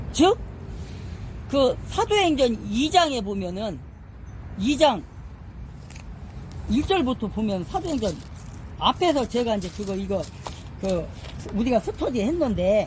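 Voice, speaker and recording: Long pauses come often. The delivery is very slow. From Korea, Chungcheong province. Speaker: Bible study teacher. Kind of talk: Bible study lecture. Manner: conversational, with many fillers and hesitations.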